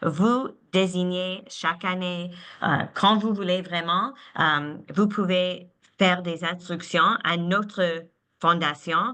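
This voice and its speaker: A woman with a non-native accent speaks at a very slow pace, her medium pitch showing ordinary variation. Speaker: philanthropy advisor. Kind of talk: webinar presentation. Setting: online webinar. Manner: halting, many repetitions.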